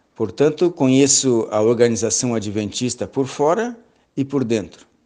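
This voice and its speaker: Medium-pitched male speech at a fairly slow pace, with ordinary pitch variation. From southern Brazil, Rio Grande do Sul (Pelotas). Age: 60s. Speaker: lecturer, church elder and biology teacher. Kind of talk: lecture. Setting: online seminar. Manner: halting.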